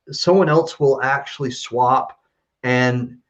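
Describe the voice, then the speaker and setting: A man with an ordinary speaking voice talks at a fairly slow pace in an American accent. His pitch is medium. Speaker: kidney patient awaiting transplant. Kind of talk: live-streamed interview.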